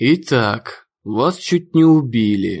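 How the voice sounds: Using a put-on character voice at a medium pitch, a man speaks at a very slow pace.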